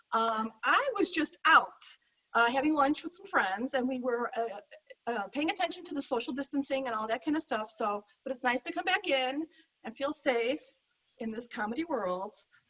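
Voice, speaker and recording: Loud and lively in intonation, a woman with an American accent talks at a moderate pace and high pitch. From Chicago. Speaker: stand-up comedian. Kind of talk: stand-up. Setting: video call.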